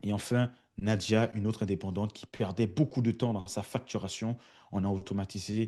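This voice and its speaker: Over a quiet background, a man speaks in a dark, mellow tone with fairly even intonation. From France. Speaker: automation consultant. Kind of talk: webinar presentation. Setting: online webinar. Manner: hesitant, many fillers.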